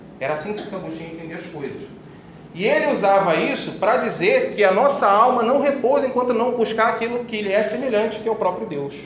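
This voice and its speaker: The speech moves at a very fast pace with lively intonation, while audible room echo and noticeable background noise surround it. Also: man, high pitch for a man. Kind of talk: religious talk to a group.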